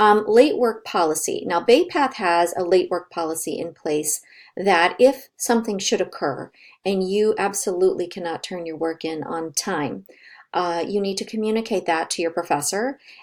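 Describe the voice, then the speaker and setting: With a plain, everyday voice, a woman talks at a moderate pace and uses ordinary pitch variation. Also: medium pitch for a woman. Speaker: college professor. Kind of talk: recorded online course announcement. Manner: casual, many fillers.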